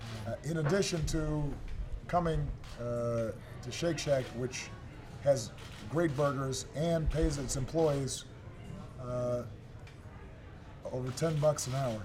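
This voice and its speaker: A man with an American accent, medium in pitch, at a very slow pace with ordinary pitch variation and long, frequent pauses. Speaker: politician. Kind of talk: remarks to press.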